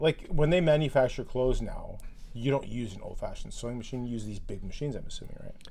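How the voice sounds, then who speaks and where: Very fast speech from a man, with audible room echo. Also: big swings in loudness. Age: 40s. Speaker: podcast co-host. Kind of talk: casual chat.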